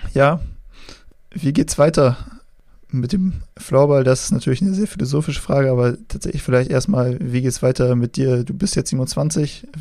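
A man talks at a moderate pace in a fairly high pitch. His tone is dark and mellow, with ordinary pitch variation. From northern Germany, Schenefeld near Hamburg. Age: 20s. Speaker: podcast host. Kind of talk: interview. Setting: remote call. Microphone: poor sound quality in the interview.

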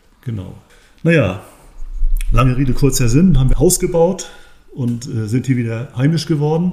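Lively intonation in a dark, mellow, somewhat breathy voice at a moderate pace, broken by long, frequent pauses. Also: man, medium pitch for a man. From northern Germany, Rostock. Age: 60s. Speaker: sports scientist and osteopathic therapist, former athlete. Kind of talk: podcast interview, explanatory.

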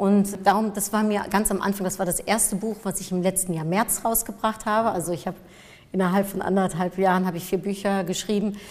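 The delivery is monotone, with flat intonation, over noticeable background noise. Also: woman, medium pitch for a woman, fairly quick pace. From Germany, near Cologne, Dutch family. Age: 40s. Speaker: marketing expert and speaker. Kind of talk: interview. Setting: studio.

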